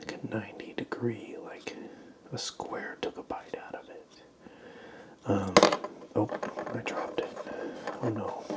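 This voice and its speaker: Whispering at a fairly slow pace with long, frequent pauses, a man speaks over noticeable background noise. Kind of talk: ASMR show and tell. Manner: soft-spoken.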